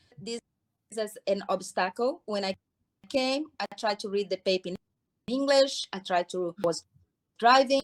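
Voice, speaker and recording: A woman with a Brazilian accent talks at a fairly slow pace, her fairly high pitch showing ordinary variation. The sound is dry and close, with no echo. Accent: foreign accent, Brazilian. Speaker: hair care business owner. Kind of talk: interview. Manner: halting.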